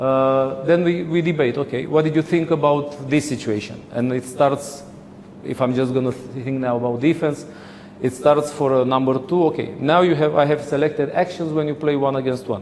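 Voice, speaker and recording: Amid noticeable background noise and audible room echo, a man talks at a moderate pace in a fairly high voice with fairly even intonation. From Romania. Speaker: handball coach. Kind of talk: lecture. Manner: halting.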